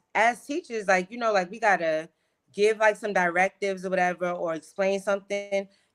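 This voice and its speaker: Over music in the background, a woman with a medium pitch speaks at a fairly quick pace with fairly even intonation. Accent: American. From New York. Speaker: fifth grade teacher. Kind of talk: casual chat. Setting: livestream.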